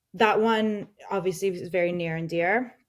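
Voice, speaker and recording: A very clean recording with a silent background captures a woman talking at a very slow pace. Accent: Spanish. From Colombia, moved to US at ten. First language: Spanish. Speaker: mental health tech founder and CEO. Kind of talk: podcast interview.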